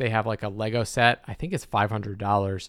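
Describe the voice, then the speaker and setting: In a very clean recording with a silent background, a man with an ordinary speaking voice talks at a moderate pace in a medium pitch with ordinary pitch variation. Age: 30s. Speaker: podcast host and online business coach. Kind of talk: solo monologue podcast. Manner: casual, filler-heavy.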